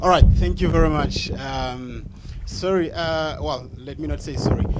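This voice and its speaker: A man at a fairly slow pace, with big swings in loudness, audible room echo and noticeable background noise. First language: not English. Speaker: audience member asking a question. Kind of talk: public Q&A question. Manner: halting.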